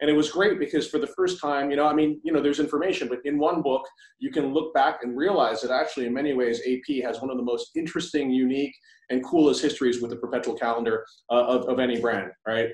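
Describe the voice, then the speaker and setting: Over a quiet background, a man speaks at a very fast pace with ordinary pitch variation. Audible room echo is present. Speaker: magazine founder; interviewer. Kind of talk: casual interview. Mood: warm, admiring. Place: home room. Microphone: poor sound; video call.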